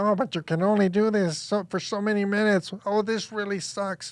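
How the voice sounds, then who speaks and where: In a put-on character voice, a man talks at a fairly quick pace with a high pitch. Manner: whining, complaining, mocking.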